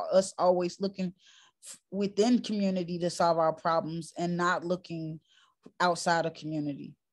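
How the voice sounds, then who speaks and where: Against a quiet background, a woman with a New York accent speaks at a fairly slow pace, her pitch fairly low and her intonation fairly even. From New York, Harlem. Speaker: community organizer. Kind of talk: panel discussion.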